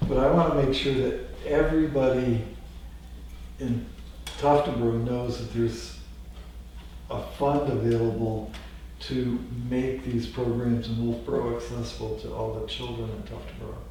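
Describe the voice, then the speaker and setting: A man at a moderate pace with long, frequent pauses, in audible room echo. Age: 60s. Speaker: town selectman. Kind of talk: town board meeting discussion.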